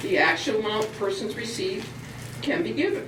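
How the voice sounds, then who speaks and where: A woman talks at a moderate pace with very wide pitch swings, amid noticeable background noise and audible room echo. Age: 60s. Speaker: public commenter at town meeting. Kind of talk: public comment speech. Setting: town board meeting.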